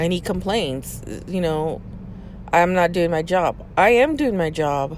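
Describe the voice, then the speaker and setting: A woman speaks at a fairly slow pace in a fairly low voice, her pitch varying in an ordinary way over noticeable background noise. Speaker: podcast host venting about work. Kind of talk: angry rant about boss. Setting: in a parked car. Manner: frustrated, stressed, venting; repetitive, halting, with fillers.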